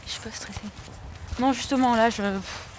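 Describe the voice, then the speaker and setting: A woman's voice over noticeable background noise. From France, Dordogne. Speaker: job seeker, young graduate. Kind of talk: documentary interview, casual. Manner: hesitant, many fillers.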